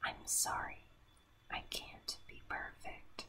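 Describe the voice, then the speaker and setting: A woman whispers, taking a very slow pace. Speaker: ASMR creator. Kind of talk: ASMR whispered reading of song lyrics. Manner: whispered. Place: home room. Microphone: studio mic.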